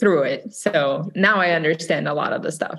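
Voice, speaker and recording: This woman has a Brazilian Portuguese accent. She speaks at a moderate pace with ordinary pitch variation. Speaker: real estate agent. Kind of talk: interview.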